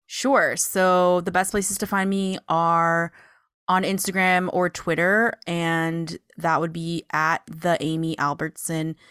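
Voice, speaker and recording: At a very slow pace, a woman with fairly low pitch and fairly even intonation is heard in a dry, close sound with no echo. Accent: American. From California, Sacramento. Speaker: advocate and educator. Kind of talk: casual chat.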